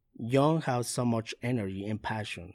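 A man with a Spanish accent at a medium pitch and fairly slow pace, in a very clean recording with a silent background. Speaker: youth pastor. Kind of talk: interview. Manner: halting.

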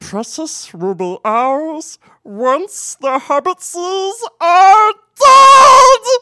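Extremely high pitch with very wide swings marks this put-on character voice. The pace is very slow. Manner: obsessive.

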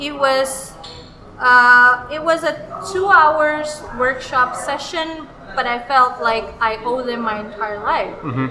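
A woman's high, raised, projected voice at a very slow pace, with ordinary pitch variation and noticeable background noise. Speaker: stand-up comedian. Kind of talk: interview conversation. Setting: busy cafe. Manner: halting.

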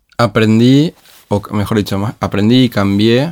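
The man's pitch is fairly low, with ordinary variation. His pace is fairly slow. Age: 30s. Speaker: education leader. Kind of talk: interview conversation. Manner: halting, many repeated words.

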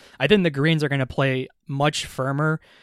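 Recorded very cleanly against a silent background, a man talks at a moderate pace in an ordinary speaking voice of medium pitch. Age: 20s. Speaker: sports podcast co-host. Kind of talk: casual chat.

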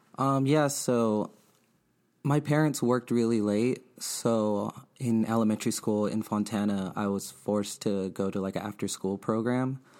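A man with an American accent at a moderate pace, his intonation fairly even. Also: medium pitch for a man. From Inland Empire, Southern California. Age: 20s. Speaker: designer and skate-culture creative. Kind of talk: interview. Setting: studio.

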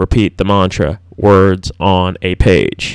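A man mumbles in a very deep, low voice. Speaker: podcast host. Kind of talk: solo monologue. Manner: mumbling; hesitant, with fillers.

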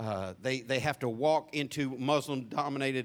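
On a very clean recording with a silent background, a man with a Southern US accent speaks at a moderate pace with fairly even intonation. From US South. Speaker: pastor. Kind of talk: sermon. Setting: church.

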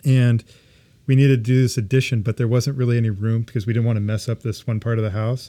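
On a very clean recording with a silent background, a man with an American accent talks at a very fast pace, his medium-pitched voice dark and mellow in tone, his intonation monotone and flat. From Southern California (Ventura). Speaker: architectural designer. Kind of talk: casual chat.

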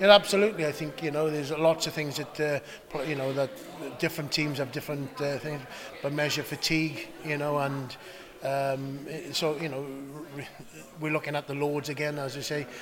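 Against noticeable background noise, a man with a fairly high voice talks at a moderate pace with fairly even intonation, taking long, frequent pauses. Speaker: rugby coach. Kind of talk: interview.

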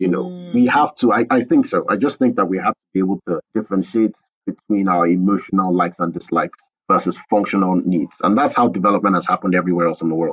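A man speaks at a very fast pace in a Nigerian accent. His loudness swings widely. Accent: Nigerian (Yoruba) English. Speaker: architect and company founder. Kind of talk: interview.

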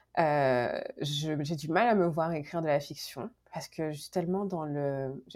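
A woman speaks at a very slow pace. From Guadeloupe. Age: 30s. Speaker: book blogger, graduate student. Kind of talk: casual interview. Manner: halting, many repetitions and fillers.

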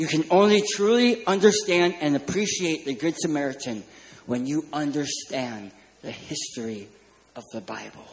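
With an American accent, a man pitched fairly high speaks at a moderate pace with lively intonation amid noticeable background noise. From California. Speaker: children's ministry speaker. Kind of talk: sermon.

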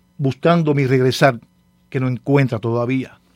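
The speaker is a man. He has a Cuban accent. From Cárdenas, Cuba. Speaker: pastor and poet. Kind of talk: radio interview.

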